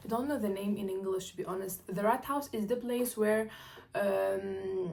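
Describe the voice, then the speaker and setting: A woman with a medium pitch talks amid audible room echo. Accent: non-native. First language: not English or German. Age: 20s. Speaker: international student, vlogger. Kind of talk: casual chat. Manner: halting, many fillers and self-corrections.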